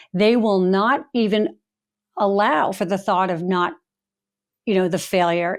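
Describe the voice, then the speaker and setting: At a moderate pace, a woman with an American accent and an unremarkable speaking voice talks at medium pitch with ordinary pitch variation, in a very clean recording with a silent background. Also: very even loudness. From Long Island, New York. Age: 60s. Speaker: author and speaker. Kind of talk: podcast interview. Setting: home.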